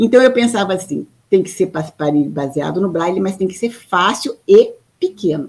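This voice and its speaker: Lively intonation comes through in a somewhat breathy voice. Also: woman. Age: 50s. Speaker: artist and mechanical engineer, inventor of a color method. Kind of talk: interview.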